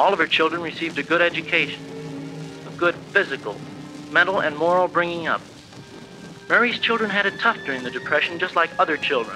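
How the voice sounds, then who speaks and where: A man speaks very fast in a high voice with ordinary pitch variation and long, frequent pauses. Clear music plays in the background. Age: 20s. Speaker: university student. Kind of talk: speech class tribute narration. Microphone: old recording.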